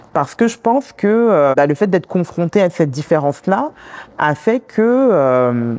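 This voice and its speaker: The tone of this woman's voice is dark and mellow. There is no echo, and the sound is dry and close. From France, Congolese background. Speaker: community worker, immigrant woman. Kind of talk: interview conversation. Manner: hesitant, many fillers.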